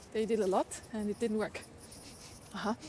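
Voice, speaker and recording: A woman talks at a fairly quick pace. She has an Austrian accent. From Austria, Vienna. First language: German. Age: 40s. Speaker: livestreamer. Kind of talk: casual live-stream chat while walking. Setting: outdoors, walking city streets.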